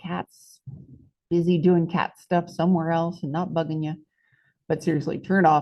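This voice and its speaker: In an American accent, a woman with a dark, mellow tone and fairly low pitch speaks in a monotone, flat intonation with long, frequent pauses. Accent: southern US drawl, at times. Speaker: math teacher. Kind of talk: tutorial. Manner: casual, chatty.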